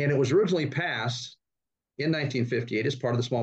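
In an American accent, a man speaks somewhat breathily with ordinary pitch variation. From Northern California. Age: 60s. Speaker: startup investment executive. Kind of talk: interview.

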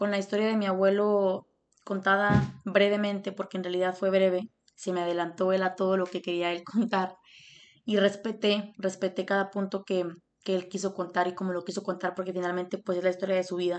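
The voice moves at a fairly quick pace in a monotone, flat intonation. The background is quiet. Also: woman, medium pitch for a woman. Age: 20s. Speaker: podcast host. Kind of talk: casual interview with grandfather. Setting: call with grandfather.

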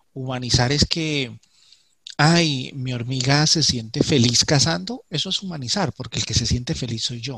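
This is a man with a medium-pitched voice. He speaks at a moderate pace with ordinary pitch variation. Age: 40s. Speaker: ant keeper and YouTube creator. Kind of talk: interview. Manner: halting, with repetitions.

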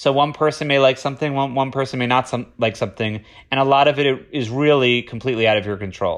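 With an American accent, a man speaks in a plain, everyday voice at a medium pitch with ordinary pitch variation. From Florida. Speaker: TV development executive. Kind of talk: interview.

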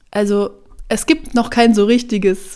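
A woman is talking. Her pace is fairly slow. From Bavaria, Germany. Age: 30s. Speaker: hairdresser and podcast host. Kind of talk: solo podcast monologue.

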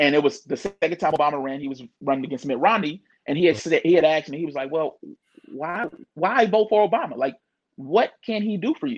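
A fairly high-pitched man at a fairly quick pace, with lively intonation. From St. Louis, Missouri. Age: 30s. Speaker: barber. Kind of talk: casual chat. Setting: live stream from his barber chair.

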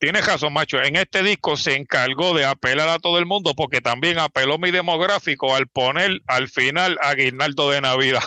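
An ordinary speaking voice from a man with fairly high pitch, at a moderate pace, with ordinary pitch variation, very even loudness and hardly any pauses. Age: 40s. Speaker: podcast host. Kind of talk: casual chat.

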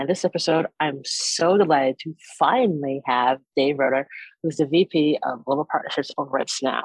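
The woman's voice is very deep and low, with ordinary pitch variation, captured as dry, close sound with no echo. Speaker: podcast host. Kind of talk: casual interview conversation. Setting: video call. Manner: fast talker.

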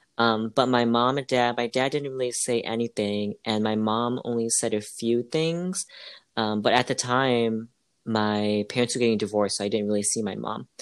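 On a very clean recording with a silent background, a man with an unremarkable speaking voice talks at a moderate pace with fairly even intonation. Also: medium pitch for a man. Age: 20s. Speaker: podcast co-host. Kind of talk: casual chat.

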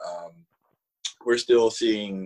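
Speaking with a Southern US accent, a man has a fairly low pitch and ordinary pitch variation, in a dry, close sound with no echo. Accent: Southern US drawl. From Alabama, US South. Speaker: assistant professor. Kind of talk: casual interview conversation. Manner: talkative.

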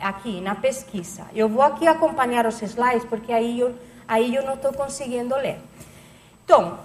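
A woman's high voice at a fairly slow pace, over noticeable background noise. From Catalonia, Spain (Barcelona). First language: Spanish or Catalan (speaking Portuguese). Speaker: lecturer, researcher. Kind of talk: lecture.

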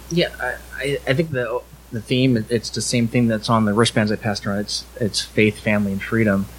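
With an American accent, a man speaks at a medium pitch and a fairly quick pace. His pitch varies in an ordinary way, and background noise is noticeable. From Southern California (Alhambra). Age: 40s. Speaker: police officer. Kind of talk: live podcast interview. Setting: live event with audience.

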